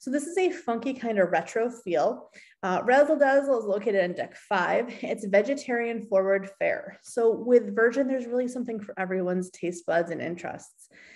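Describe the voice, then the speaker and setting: A woman talks at a moderate pace with lively intonation and hardly any pauses. The background is quiet. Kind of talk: screen-share walkthrough, partly reading course text. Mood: upbeat, enthusiastic. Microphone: webcam.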